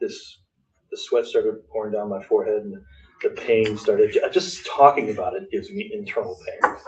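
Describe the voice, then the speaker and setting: A man is speaking. His pace is moderate. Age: 60s. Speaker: mastermind group member sharing business story. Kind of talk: personal storytelling to a group. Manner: animated.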